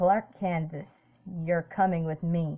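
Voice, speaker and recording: A woman puts on a gravelly character voice, fairly low in pitch. She speaks at a fairly slow pace with monotone, flat intonation. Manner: demonic, menacing.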